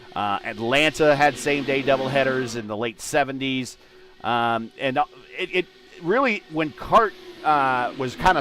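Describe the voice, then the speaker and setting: Music plays in the background as a man speaks at a moderate pace. His medium pitch shows ordinary variation. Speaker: sim racing commentator. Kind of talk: live commentary. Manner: halting, many fillers.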